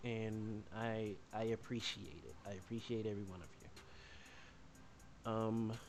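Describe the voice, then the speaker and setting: Soft-spoken and fairly low in pitch, a man talks at a fairly slow pace with fairly even intonation, big swings in loudness, long, frequent pauses and audible room echo. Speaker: streamer. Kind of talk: casual livestream chat. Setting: livestream with chat. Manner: halting, many repetitions.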